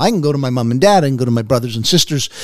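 The intonation is lively. The speaker is a man. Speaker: radio co-host, former mission worker. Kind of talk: radio interview. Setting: radio studio. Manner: loud.

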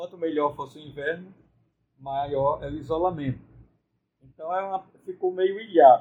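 This man talks at a moderate pace with a fairly high pitch and ordinary pitch variation. His loudness swings widely, and he takes long, frequent pauses. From Brazil, Ceará interior. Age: 60s. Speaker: priest and university rector. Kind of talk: interview conversation.

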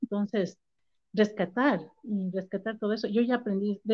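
A woman speaks in a highland Ecuadorian accent. Her pitch is medium. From Ecuador, raised in Quito (born Ambato). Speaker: backpacker and entrepreneur. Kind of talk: interview conversation.

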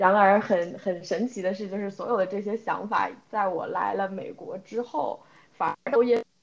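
Speaking at a moderate pace, a woman has an ordinary speaking voice at medium pitch with ordinary pitch variation. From China, Ningbo. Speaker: podcast co-host, product analyst. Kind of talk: casual chat.

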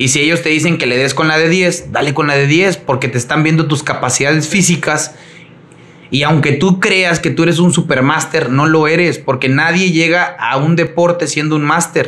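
Against noticeable background noise, a man with a fairly high pitch talks at a moderate pace, keeping his loudness very even and his intonation fairly even. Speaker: CrossFit coach and entrepreneur. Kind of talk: casual chat.

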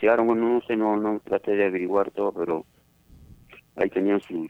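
A man's fairly low voice in a flat monotone. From Peru, Ica region (Palpa, Nazca). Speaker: interviewee, host's father. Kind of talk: casual chat.

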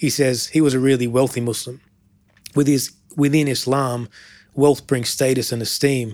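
With an Australian accent, a man at medium pitch speaks at a moderate pace in a monotone, flat intonation with long, frequent pauses. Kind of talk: interview.

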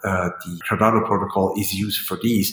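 With a Swiss German accent, a man speaks at a moderate pace, his fairly low voice showing ordinary pitch variation. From Switzerland, rural German-speaking part. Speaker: foundation chairperson and corporate lawyer. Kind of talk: podcast interview Q&A. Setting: remote call from hotel room. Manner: halting, many fillers.

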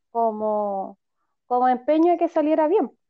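In a Chilean accent, a woman talks in a high voice. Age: 40s. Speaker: feminist activist, podcast co-host. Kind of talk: casual chat.

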